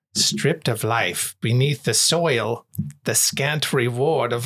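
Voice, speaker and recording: Putting on a character voice, a man goes raspy and sing-song at a medium pitch and fairly slow pace. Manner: lilting, sing-song.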